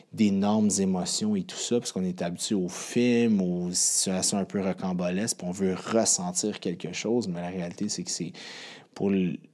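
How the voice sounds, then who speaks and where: Speaking in a Quebec accent at a moderate pace, a man with a very deep, low pitch and a dark, mellow tone keeps a monotone, flat intonation over a very clean recording with a silent background. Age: 30s. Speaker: podcast host, fitness coach. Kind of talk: podcast monologue. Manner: casual, with many fillers.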